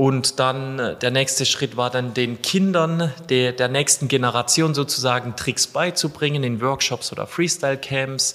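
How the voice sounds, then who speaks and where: With music in the background, a man speaks at a fairly slow pace, medium pitch and fairly even intonation. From southern Germany, between Freiburg and Lake Constance. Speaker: football freestyler and content creator. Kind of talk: interview.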